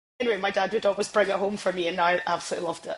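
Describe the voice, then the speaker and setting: Through noticeable background noise, a woman with a Scottish accent talks at a very fast pace. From Scotland (Isle of Skye, Edinburgh, near Glasgow). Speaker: sports TV presenter. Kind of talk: podcast interview. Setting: podcast recording.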